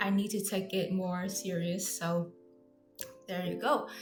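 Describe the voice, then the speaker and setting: With a Vietnamese accent, a woman talks at a fairly slow pace in a medium pitch, her voice somewhat breathy against audible room echo. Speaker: artist and vlogger. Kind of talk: casual vlog introduction. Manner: halting, with fillers and self-corrections.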